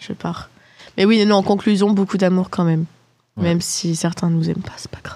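A woman with a dark, mellow tone and medium pitch speaks at a fairly quick pace, her loudness swinging widely. Her intonation stays fairly even, broken by long, frequent pauses. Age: 20s. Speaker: student podcast host. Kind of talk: casual chat among friends.

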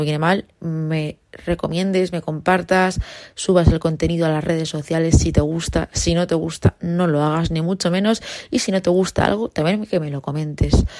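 Here a woman speaks with a fairly low pitch. Her pace is moderate and her intonation fairly even. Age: 20s. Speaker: podcaster, university student. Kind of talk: casual monologue. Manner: spontaneous, unscripted.

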